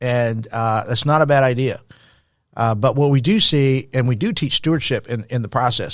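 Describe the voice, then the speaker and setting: A man with an American accent speaks in a plain, everyday voice at a medium pitch with ordinary pitch variation, on a very clean recording with a silent background. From Texas, El Paso. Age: 60s. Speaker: former pastor, nonprofit founder. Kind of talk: podcast interview.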